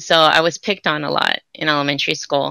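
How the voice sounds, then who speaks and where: Against a quiet background, a woman talks at a moderate pace in a bright, sharp tone, with a dry sound and no echo. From Santa Ana, Orange County, California; California. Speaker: writer and theater producer; podcast guest. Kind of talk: interview conversation. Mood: warm, reflective, smiling. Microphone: video call.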